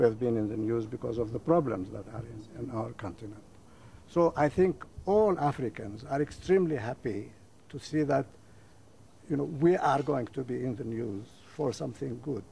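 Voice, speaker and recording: Speaking at a moderate pace with long, frequent pauses, a man uses lively intonation in a dark, mellow tone that is somewhat breathy. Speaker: guest. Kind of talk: interview answer. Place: garden.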